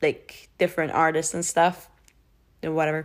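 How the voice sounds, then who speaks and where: A woman's very deep, low-pitched voice. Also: very clean recording, silent background. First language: not English. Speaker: podcast host, TV show reviewer. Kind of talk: casual solo monologue. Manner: hesitant, many fillers and restarts.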